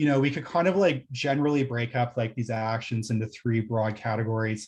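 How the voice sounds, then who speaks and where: The voice is somewhat breathy. It belongs to a man speaking at a medium pitch. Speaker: planning consultant presenting to council. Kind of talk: council meeting presentation. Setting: municipal council meeting. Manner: fast.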